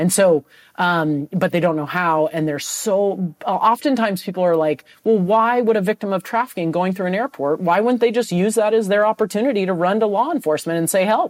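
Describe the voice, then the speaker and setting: A woman's ordinary speaking voice with an American accent, medium in pitch with ordinary pitch variation, dry and close with no echo. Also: fairly quick pace. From San Francisco Bay Area, California. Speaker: anti-trafficking advocate. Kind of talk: interview.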